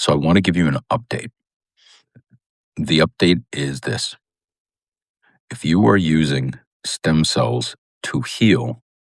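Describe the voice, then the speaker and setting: With lively intonation and vocal fry, a man talks at a moderate pace in a very deep, low voice, recorded dry and close with no echo. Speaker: doctor of regenerative medicine. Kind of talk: vlog update. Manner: quiet, hushed.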